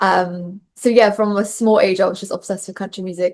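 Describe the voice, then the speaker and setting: Against a quiet background, a woman with a Bristolian accent speaks at a moderate pace in a medium-pitched, monotone, flat voice. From England, Bristol. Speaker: country singer-songwriter. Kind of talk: interview.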